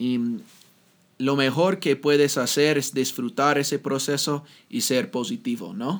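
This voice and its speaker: A man with an English accent speaks at a fairly slow pace in a fairly high pitch with lively intonation, on a very clean recording with a silent background. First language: English (speaking Spanish). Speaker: podcast host, Spanish learner. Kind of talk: casual chat. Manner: halting.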